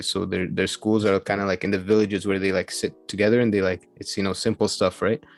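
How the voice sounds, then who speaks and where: A man with a fairly low pitch talks very fast in a flat monotone, hardly pausing, in a dry, close sound with no echo while music plays in the background. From Egypt. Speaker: podcast guest. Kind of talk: casual chat. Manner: halting, many fillers.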